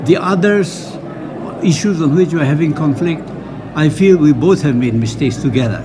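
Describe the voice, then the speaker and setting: A man with a rather high pitch and ordinary pitch variation is heard through noticeable background noise. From Nagaland, Northeast India. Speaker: peace and reconciliation worker. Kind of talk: interview answer.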